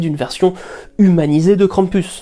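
A woman speaks at a moderate pace with lively intonation. Her medium-pitched voice has a dark, mellow tone. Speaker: narrator of a curiosities channel. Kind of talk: scripted narration.

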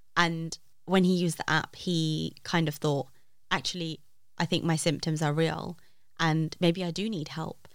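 A woman with a London accent speaks at a fairly low pitch in a monotone with flat intonation. The recording is very clean, with a silent background. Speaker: app founder. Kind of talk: casual chat.

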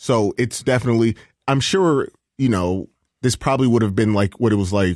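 Over a silent background in a very clean recording, a man with a fairly low pitch speaks at a moderate pace with ordinary pitch variation, the sound dry and close with no echo. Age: 30s. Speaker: sports show production staff. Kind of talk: casual chat.

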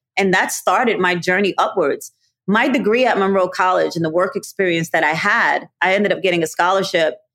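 At a fairly quick pace, a woman with a New York accent speaks at a medium pitch with ordinary pitch variation and very even loudness. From New York City, Brooklyn. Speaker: college alumna, nonprofit professional. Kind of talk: interview.

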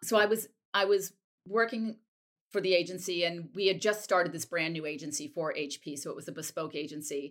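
A woman with an American accent speaks at a fairly quick pace and a fairly low pitch, with ordinary pitch variation. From US Northeast, Wellesley, Massachusetts. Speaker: fashion label founder. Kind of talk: interview.

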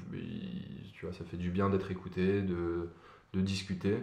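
A man's very deep, low voice at a fairly slow pace, with audible room echo. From Paris suburbs, France (Nanterre). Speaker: podcast guest. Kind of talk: casual chat about depression. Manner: halting, many repetitions and fillers.

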